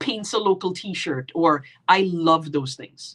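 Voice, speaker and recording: Loud and animated, a woman talks at a medium pitch. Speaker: art director and small business owner. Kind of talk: casual chat. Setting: live video stream.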